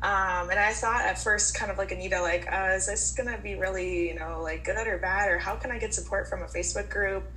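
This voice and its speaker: A woman with an American accent talks at a fairly quick pace with hardly any pauses. The recording has audible room echo and noticeable background noise. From Minnesota. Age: 20s. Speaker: guest living with a skin disease. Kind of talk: casual group chat.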